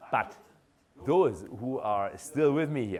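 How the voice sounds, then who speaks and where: A man with vocal fry talks at a moderate pace in a room with audible echo. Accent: German. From Germany. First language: German. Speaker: professor. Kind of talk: lecture. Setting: lecture hall with audience.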